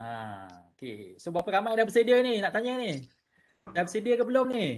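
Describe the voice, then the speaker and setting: A man with a Malaysian accent talks at a moderate pace. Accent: Malaysian Malay. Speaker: webinar host. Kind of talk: casual webinar hosting. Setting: online webinar. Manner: casual, chatty. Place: home room. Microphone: webcam.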